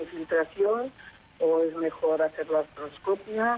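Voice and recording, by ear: A woman speaks at a low pitch with a slightly husky edge and fairly even intonation.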